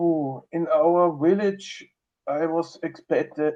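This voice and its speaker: The tone is dark and mellow. It belongs to a man. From Austria, Upper Austria. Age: 20s. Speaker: communist local councillor. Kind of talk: interview answers.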